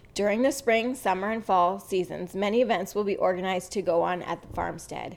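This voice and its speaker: A medium-pitched woman's voice with vocal fry, ordinary pitch variation, a fairly quick pace and hardly any pauses. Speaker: podcast host. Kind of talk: reading aloud.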